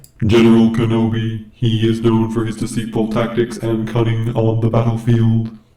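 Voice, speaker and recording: In a put-on, robotic character voice, a man speaks at a medium pitch and a moderate pace with monotone, flat intonation and hardly any pauses. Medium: tutorial demo.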